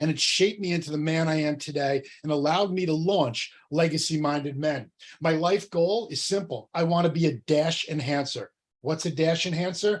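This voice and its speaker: Someone with a New Jersey accent speaks with ordinary pitch variation. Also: man, fairly high pitch for a man. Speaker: entrepreneur and coach. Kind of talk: workshop presentation. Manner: fast.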